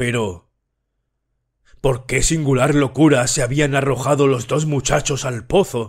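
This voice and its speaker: Somewhat breathy and medium in pitch, a man speaks at a fairly slow pace with fairly even intonation. Long, frequent pauses break up his speech in a very clean recording with a silent background. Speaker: audiobook narrator. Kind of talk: horror audiobook narration, read aloud. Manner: slow, measured, somber storytelling.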